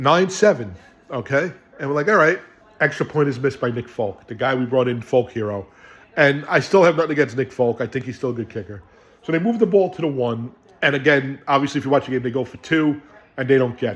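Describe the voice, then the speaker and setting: Lively intonation marks this very fast speech in a New York accent. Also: man, medium pitch for a man. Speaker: sports fan video host. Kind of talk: casual game recap. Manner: animated.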